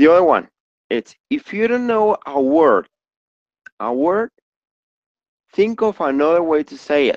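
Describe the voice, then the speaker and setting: With a high pitch and very wide pitch swings, a man speaks with long, frequent pauses in a dry, close recording with no echo. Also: fairly slow pace. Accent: Spanish. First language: Spanish. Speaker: English teacher. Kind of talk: online class.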